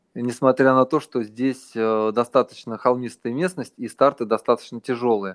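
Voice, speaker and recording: In a dry, close recording with no echo, an ordinary speaking voice talks at a moderate pace with fairly even intonation. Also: man, medium pitch for a man. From Russia. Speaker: runner and running coach. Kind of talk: interview.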